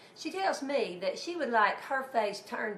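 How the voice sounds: With lively intonation and a fairly slow pace, a woman speaks amid audible room echo.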